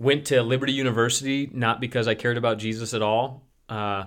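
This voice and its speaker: A man speaks with an American accent. His intonation is fairly even. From US Midwest (Detroit suburbs, Chicago suburbs). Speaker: pastor. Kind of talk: casual chat.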